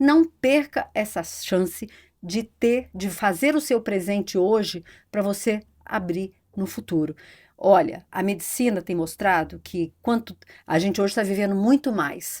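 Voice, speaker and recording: Here a woman with a plain, everyday voice speaks fairly slowly at a medium pitch with lively intonation, on a very clean recording with a silent background. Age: 60s. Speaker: economist and psychology researcher. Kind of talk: podcast interview.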